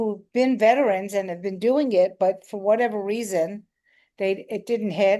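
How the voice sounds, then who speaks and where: A woman with an American accent talks at a moderate pace in a fairly high, dark and mellow voice with fairly even intonation, over a quiet background. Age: 60s. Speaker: comedian. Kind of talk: interview. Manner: halting, many repeated words.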